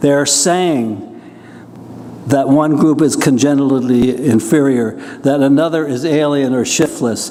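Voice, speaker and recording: Amid noticeable background noise and audible room echo, a man with a fairly high pitch talks at a moderate pace using fairly even intonation. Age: 80s+. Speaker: professor and poet. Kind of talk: lecture. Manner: conversational, slightly halting.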